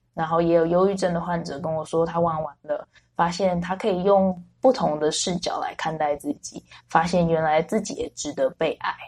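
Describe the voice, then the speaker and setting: The voice is a woman's, fairly low in pitch and somewhat breathy. She keeps a moderate pace with ordinary pitch variation. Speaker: special education teacher. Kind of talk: interview conversation.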